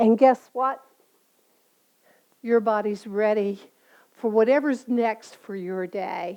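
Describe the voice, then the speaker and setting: A woman speaks at a very slow pace in a dark, mellow tone. Her pitch is fairly high, and her intonation stays fairly even. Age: 70s. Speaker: yoga instructor. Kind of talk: casual closing remarks; guided yoga class. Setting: home studio. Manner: calm, soothing.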